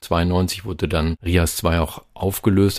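A man's very deep, low voice. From Germany, Lower Saxony (Hameln area). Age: 50s. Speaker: radio host and journalist. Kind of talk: interview. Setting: video call.

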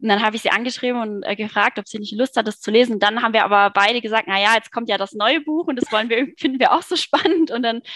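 A woman is speaking. Her pace is very fast. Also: dry, close sound with no echo. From Germany, Cologne. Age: 30s. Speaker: online marketing worker, book club member. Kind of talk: casual interview chat.

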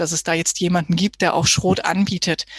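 Somewhat breathy and fairly low in pitch, a woman speaks with flat, monotone intonation in a dry, close sound with no echo. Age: 30s. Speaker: physiotherapist. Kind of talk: interview.

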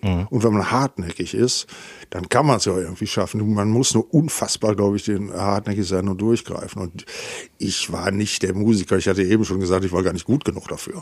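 The delivery is fairly quick, with ordinary pitch variation. It is a plain, everyday voice. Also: man, fairly low pitch for a man. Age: 60s. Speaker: musician and music school founder. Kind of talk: casual chat. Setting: in person in the same room.

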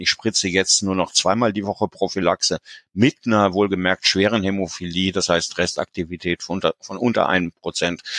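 Against a quiet background, a man with a very deep, low pitch speaks at a moderate pace with fairly even intonation, in a dry, close sound with no echo. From Germany, near Paderborn. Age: 60s. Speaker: patient. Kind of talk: interview.

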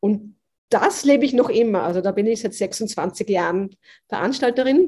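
At a moderate pace, a woman with a fairly high pitch and a dark, mellow tone sounds somewhat breathy, her intonation lively. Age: 40s. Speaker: business mentor. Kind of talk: interview conversation. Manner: animated.

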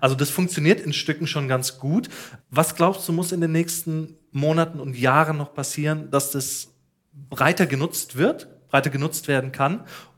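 A man talks in an ordinary speaking voice, his fairly high pitch carried on fairly even intonation at a moderate pace. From Ruhr area, Germany. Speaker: podcast host. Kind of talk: casual interview and on-location reportage.

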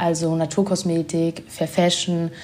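The tone of this woman's voice is dark and mellow. There is also some breathiness to it. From Germany. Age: 20s. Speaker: sustainability blogger and influencer. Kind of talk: casual interview.

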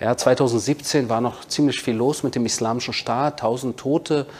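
This man has a plain, everyday voice, pitched in the middle for a man and delivered at a moderate pace. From Berlin, Germany. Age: 40s. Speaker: author and military spokesman. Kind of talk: interview.

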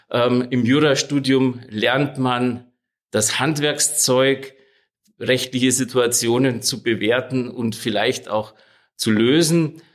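On a very clean recording with a silent background, a man speaks very slowly at a medium pitch, holding very even loudness and fairly even intonation. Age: 50s. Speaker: lawyer. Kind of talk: interview.

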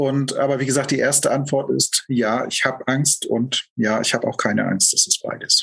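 A man with a normal speaking voice at a medium pitch talks at a moderate pace, with hardly any pauses, fairly even intonation and very even loudness. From East Germany, Lusatia. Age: 40s. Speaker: end-of-life companion and life coach. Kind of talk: personal interview testimony.

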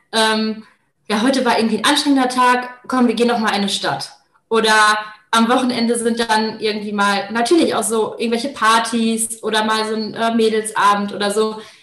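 Speaking fairly quickly, a woman keeps a monotone, flat intonation at a fairly high pitch, with audible room echo. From Germany, Paderborn. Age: 20s. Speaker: master's student. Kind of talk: casual interview.

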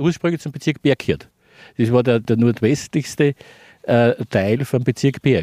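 In a dry, close recording with no echo, a man speaks in a dark, mellow tone with ordinary pitch variation. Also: medium pitch for a man, fairly slow pace, very clean recording, silent background. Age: old. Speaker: retired local resident. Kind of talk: casual interview.

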